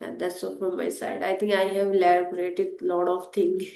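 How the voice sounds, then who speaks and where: A woman talks with an Indian accent. There is audible room echo in the recording. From India (Hindi-speaking). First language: Hindi. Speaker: English learner and content creator. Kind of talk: interview conversation.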